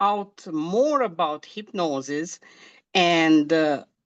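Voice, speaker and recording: A woman speaks with a Romanian accent and lively intonation. The background is quiet. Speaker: hypnosis practitioner in training. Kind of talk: interview. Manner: halting, many fillers.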